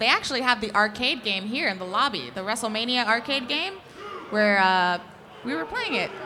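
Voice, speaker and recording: A woman with a fairly high voice and ordinary pitch variation speaks at a moderate pace amid noticeable background noise. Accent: New York. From New York. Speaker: wrestling fan. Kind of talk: live podcast casual chat. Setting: stage with audience. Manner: excitable; loud.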